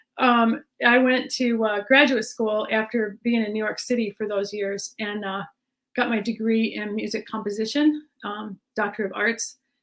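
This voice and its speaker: Using a plain, everyday voice, a woman speaks at a moderate pace with fairly high pitch and fairly even intonation. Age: 60s. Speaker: jazz musician. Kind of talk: panel discussion.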